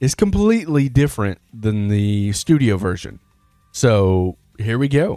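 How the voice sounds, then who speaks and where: In a very clean recording with a silent background, a man with an American accent speaks at a medium pitch and a fairly slow pace, his intonation lively. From US South, Alabama. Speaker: metal music reaction YouTuber. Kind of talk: casual countdown commentary. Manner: casual, conversational with fillers.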